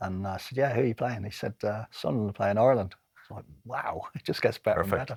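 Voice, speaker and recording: At a very fast clip, a man delivers his words in a somewhat breathy voice. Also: medium pitch for a man, ordinary pitch variation, big swings in loudness. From Dublin, Ireland. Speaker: former football referee. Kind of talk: interview answer.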